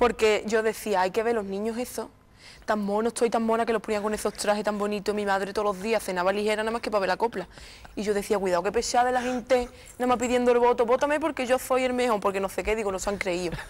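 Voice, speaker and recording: Animated in tone, a woman talks very fast at a fairly high pitch. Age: 20s. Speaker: copla singer; interview guest. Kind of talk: TV interview. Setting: TV studio with audience. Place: studio. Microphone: lapel.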